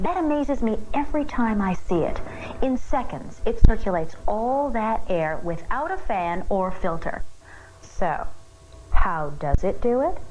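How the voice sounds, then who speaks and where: Noticeable background noise sits behind a woman's voice. Her pitch is fairly high, with very wide swings. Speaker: infomercial host. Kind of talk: TV infomercial presentation.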